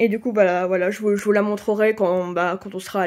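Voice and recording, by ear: A woman talks at a fast pace and a medium pitch. Her voice is nasal, with a dark, mellow tone.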